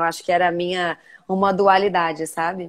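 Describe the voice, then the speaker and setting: A woman with an unremarkable speaking voice, fairly low pitch and a fairly quick pace, in a very clean recording with a silent background. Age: 30s. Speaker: journalist and TV presenter. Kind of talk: interview conversation. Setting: live video stream. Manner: casual, many fillers.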